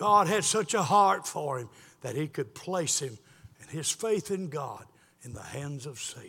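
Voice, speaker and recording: With a Southern US accent, a man talks at a fairly slow pace in a bright, sharp tone, his fairly high pitch moving with lively intonation. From South Carolina. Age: 70s. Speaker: pastor. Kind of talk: sermon. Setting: church.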